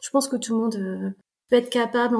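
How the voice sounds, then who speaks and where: A woman with a somewhat breathy, fairly high voice speaks in a monotone, flat intonation. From France, Tours. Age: 40s. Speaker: amateur marathon runner. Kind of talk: interview storytelling.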